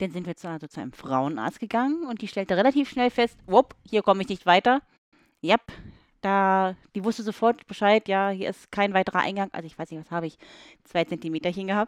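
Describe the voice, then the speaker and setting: A woman with a plain, everyday voice speaks at a fairly quick pace and medium pitch with lively intonation, recorded very cleanly with a dry, close sound, no echo and a silent background. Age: 30s. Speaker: woman telling her story of a rare condition. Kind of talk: casual chat. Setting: sitting on a bed with wine.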